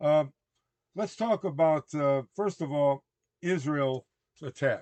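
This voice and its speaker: Speaking very slowly in an American accent, a man uses ordinary pitch variation, captured in a dry, close sound with no echo. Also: fairly high pitch for a man. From US Midwest, Chicago. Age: 70s. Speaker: evangelist. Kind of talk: religious current-events commentary. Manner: conversational, halting with fillers. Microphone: current microphones to be upgraded for better sound.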